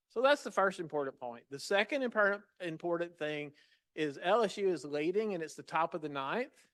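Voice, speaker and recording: Against a quiet background, a man with a high pitch talks at a fairly quick pace with lively intonation. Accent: Southern US. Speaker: patient safety leader. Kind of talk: lecture. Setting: stage with audience.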